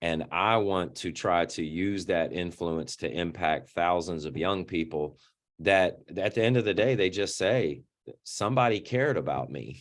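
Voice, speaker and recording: In a very clean recording with a silent background, a man with a very deep, low voice and vocal fry talks fairly slowly with lively intonation. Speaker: nonprofit founder. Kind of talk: interview.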